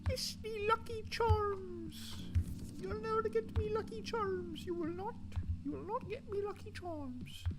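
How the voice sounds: A put-on character voice in an Irish accent at a fairly slow pace, over loud background noise.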